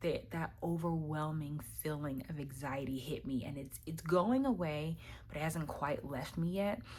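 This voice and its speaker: A woman's very deep, low voice, somewhat breathy, at a fairly slow pace with ordinary pitch variation and audible room echo. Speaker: tarot card reader. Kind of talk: weekly tarot reading to camera. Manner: hesitant, many fillers.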